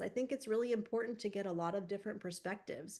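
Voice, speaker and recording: Her pace is very fast. The woman's pitch shows ordinary variation. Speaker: university admissions staff presenter. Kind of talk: webinar presentation. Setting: video call webinar. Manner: many fillers and repetitions.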